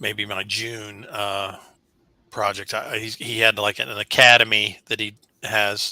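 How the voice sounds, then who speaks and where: On a very clean recording with a silent background, a man speaks fairly slowly in a fairly low, flat monotone with a bright, sharp tone. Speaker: real estate and mortgage professional. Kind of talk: casual chat. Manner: halting.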